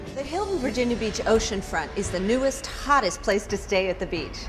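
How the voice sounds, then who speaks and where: Music plays behind a woman whose voice is high-pitched. Her tone is upbeat, with very wide pitch swings. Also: fairly quick pace. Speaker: television host, presenter and voiceover talent. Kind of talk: on-camera travel and hotel promo host read. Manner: upbeat, friendly, conversational.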